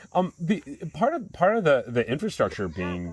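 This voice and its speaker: A loud man at a fairly quick pace, very wide pitch swings, on a very clean recording with a silent background. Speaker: chocolate company co-host. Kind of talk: casual chat.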